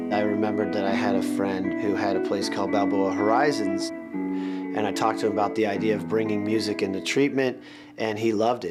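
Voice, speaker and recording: Music plays in the background as a man talks at a fairly quick pace with hardly any pauses. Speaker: rock guitarist, music therapy founder. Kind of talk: documentary interview answer.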